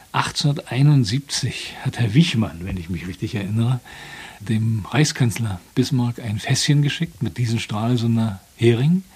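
Somewhat breathy and at a medium pitch, a man speaks at a fairly slow pace with lively intonation. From Rügen, northeastern Germany. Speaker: author and former fisherman. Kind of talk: casual chat. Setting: outdoors.

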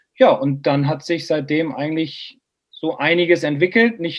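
A man has a plain, everyday voice. His pitch is fairly high and his pace moderate. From northern Germany, Bremen. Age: 40s. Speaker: golf instructor. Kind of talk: casual chat.

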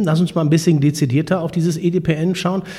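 A man with a high pitch talks at a moderate pace over noticeable background noise. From Münsterland, Germany. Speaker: podcast host. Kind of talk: casual interview.

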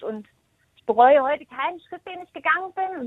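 A woman is speaking. Her pace is moderate. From Thuringia, eastern Germany. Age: 30s. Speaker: hairdresser and salon team manager. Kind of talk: interview.

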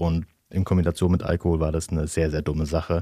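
On a very clean recording with a silent background, this man's speech moves fairly quickly. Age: 30s. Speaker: interview guest. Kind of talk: casual interview. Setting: studio.

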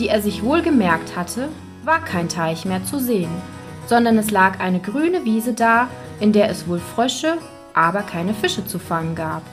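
At a fairly slow pace and medium pitch, a woman speaks with big pitch swings as faint music plays in the background.

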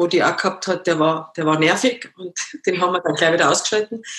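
This woman speaks with a slight Bavarian accent. Her pitch is fairly low. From Munich, Bavaria. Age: 50s. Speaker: former professional dancer, amputee. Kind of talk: interview.

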